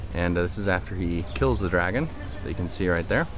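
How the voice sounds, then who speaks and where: A man speaks at a fairly quick pace with a very deep, low pitch. The sound is dry with no echo, and there is noticeable background noise. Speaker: travel vlogger. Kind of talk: casual travel vlog commentary. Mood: relaxed, enthusiastic. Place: street. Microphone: phone near.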